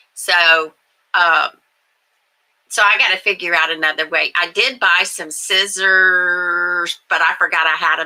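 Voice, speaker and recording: With a bright, sharp tone and a fairly low pitch, a woman speaks at a fairly slow pace with fairly even intonation. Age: old. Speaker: livestream host. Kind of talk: casual chat. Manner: halting.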